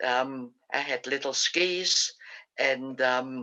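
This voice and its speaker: This woman's pitch is very deep and low, with ordinary variation. Her tone is bright and sharp. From Austria, Vienna. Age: 80s+. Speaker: Holocaust survivor. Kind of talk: interview testimony. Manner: halting.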